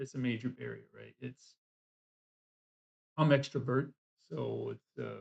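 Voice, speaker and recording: A man is speaking. His pace is moderate. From US South. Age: 60s. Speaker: language student and vlogger. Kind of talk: casual chat. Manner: halting.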